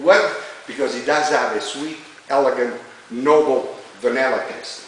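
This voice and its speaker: The recording has audible room echo and noticeable background noise. A man talks at a moderate pace with fairly high pitch. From Italy. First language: Italian. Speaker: winery tour guide. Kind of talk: guided tour talk. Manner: animated, talks with his hands.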